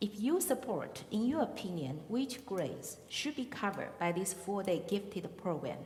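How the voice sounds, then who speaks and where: The speaker has a Chinese accent. Noticeable background noise is present. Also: woman. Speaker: forum moderator. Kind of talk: moderating questions. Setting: public forum with audience. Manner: slow.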